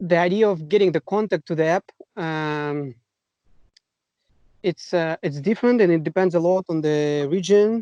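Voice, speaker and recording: At a moderate pace, a man with a high pitch and a dark, mellow tone shows ordinary pitch variation and takes long, frequent pauses. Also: dry, close sound with no echo. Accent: Russian. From Russia. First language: Russian. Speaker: kayaking app co-founder. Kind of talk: casual chat. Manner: halting.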